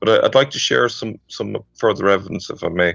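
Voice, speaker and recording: A man with an Irish accent, dry and close with no echo, over a quiet background. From Ireland. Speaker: caller. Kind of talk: debate. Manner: halting.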